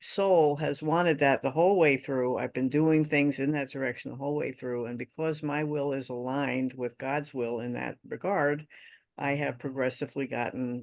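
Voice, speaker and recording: The background stays quiet as a man speaks at a moderate pace. Ordinary pitch variation marks his voice. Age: 60s. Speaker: workshop participant. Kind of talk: personal testimony.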